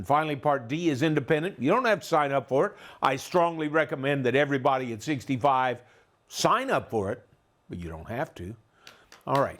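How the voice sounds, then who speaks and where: In a very clean recording with a silent background, a man with an American accent uses a normal speaking voice, fairly high-pitched with lively intonation, a fairly quick pace and big swings in loudness. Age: 60s. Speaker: tax and retirement educator. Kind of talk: lecture.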